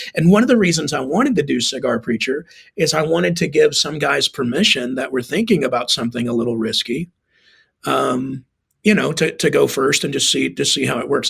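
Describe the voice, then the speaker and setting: A man with a fairly high voice and some vocal fry. His intonation is lively. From Texas. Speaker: pastor. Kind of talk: podcast interview. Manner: casual, repeats words often.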